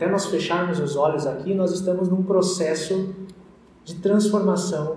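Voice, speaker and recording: A man with a high pitch speaks at a moderate pace with fairly even intonation and audible room echo. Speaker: pastor. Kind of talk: sermon.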